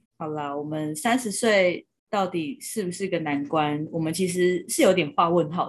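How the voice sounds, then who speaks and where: A woman with a plain, everyday voice talks at a moderate pace and fairly low pitch, with ordinary pitch variation. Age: 30s. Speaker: podcast co-host. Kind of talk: casual chat.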